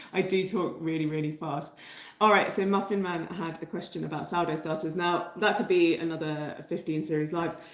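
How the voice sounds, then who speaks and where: A woman's fairly low, monotone voice with flat intonation and audible room echo. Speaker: bread baking teacher. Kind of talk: livestream tutorial chat. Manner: hesitant with many fillers.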